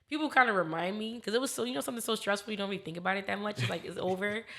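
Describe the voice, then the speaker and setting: With an American accent, a woman talks at a very fast pace and a medium pitch. Her tone is animated and her intonation lively. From Philadelphia, US. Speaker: video director. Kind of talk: podcast interview.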